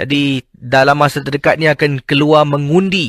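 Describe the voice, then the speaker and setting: The sound is dry and close, with no echo. In it, a man talks at a very slow pace. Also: very clean recording, silent background. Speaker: late-night radio host. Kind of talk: radio sign-off; radio storytelling, retelling a listener's ghost story. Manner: hesitant, many fillers.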